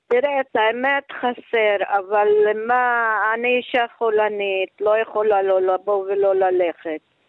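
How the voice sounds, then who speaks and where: The speech moves at a very slow pace with very even loudness. Its intonation stays fairly even. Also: woman. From Yugoslavia. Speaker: Holocaust survivor. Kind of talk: radio interview. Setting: phone call. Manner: halting.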